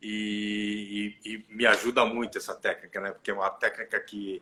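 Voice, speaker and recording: A man is speaking. His pace is fairly slow. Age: 60s. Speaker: therapist. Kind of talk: casual live stream chat. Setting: online live stream. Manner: halting.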